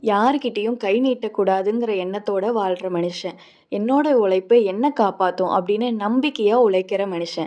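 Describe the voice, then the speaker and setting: A woman's dark, mellow tone sits at medium pitch, with ordinary pitch variation. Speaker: grandchild promoting family tea filter business. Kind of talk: promotional voice-over narration.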